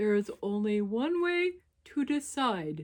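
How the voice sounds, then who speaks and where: A woman's put-on character voice, fairly high in pitch, swinging very widely up and down, at a fairly slow pace. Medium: read story. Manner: solemn, deliberate.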